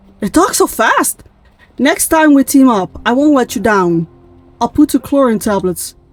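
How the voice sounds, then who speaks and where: The voice swings very widely in pitch, with a dry, close sound and no echo. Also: woman, high pitch for a woman, moderate pace. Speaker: gaming YouTuber. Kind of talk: reading aloud game text with commentary.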